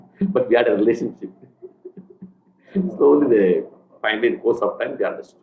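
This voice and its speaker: Music plays in the background as a man speaks. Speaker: spiritual lecturer.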